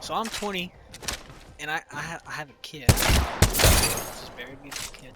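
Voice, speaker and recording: Noticeable background noise accompanies a man with an American accent. His pitch varies in an ordinary way. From Oklahoma. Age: 20s. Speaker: vlogger. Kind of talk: casual rant. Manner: halting, stumbling.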